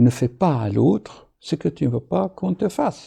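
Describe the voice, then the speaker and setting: This man's voice has a dark, mellow tone and is somewhat breathy. He speaks at a very slow pace with very wide pitch swings. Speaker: doctor. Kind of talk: video monologue.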